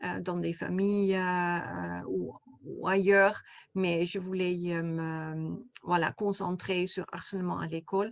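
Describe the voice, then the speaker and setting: Very slow speech in a Dutch accent against a quiet background. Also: woman. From Netherlands. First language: Dutch (speaking French). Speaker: coach and therapist, author. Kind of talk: interview. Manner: halting, many hesitations.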